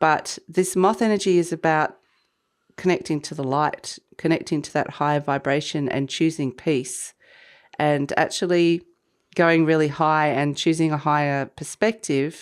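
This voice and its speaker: A woman speaks at a moderate pace with ordinary pitch variation. Her voice is very deep and low. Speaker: tarot reader. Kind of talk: tarot reading. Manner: casual, hesitant with fillers.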